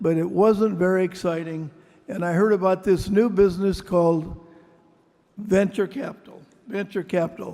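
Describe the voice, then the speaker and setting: Speaking in a Midwestern accent, a man uses a high pitch, fairly even intonation and a moderate pace. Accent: American Midwest. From US Midwest, Mason City, Iowa. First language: Greek. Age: 80s+. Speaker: venture capitalist. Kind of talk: award acceptance speech.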